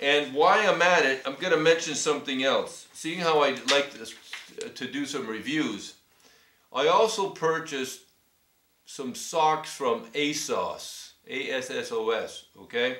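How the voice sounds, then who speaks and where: With audible room echo but a quiet background, a man with a fairly high pitch speaks fairly slowly. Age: 60s. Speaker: cycling YouTuber reviewing gear; customer reviewing products. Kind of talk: casual product review vlog. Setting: filming himself on camera. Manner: hesitant, many fillers. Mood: pleased, appreciative. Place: home room. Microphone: webcam.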